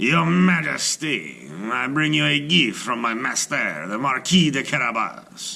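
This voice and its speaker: A man's put-on character voice at a medium pitch, with very wide pitch swings and a fairly slow pace. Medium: read story. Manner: smooth, persuasive.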